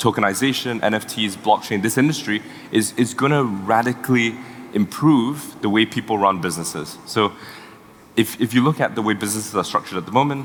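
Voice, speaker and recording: Fairly quick pace and ordinary pitch variation amid noticeable background noise. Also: man. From Singapore. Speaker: tech startup co-founder. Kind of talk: panel talk. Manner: halting.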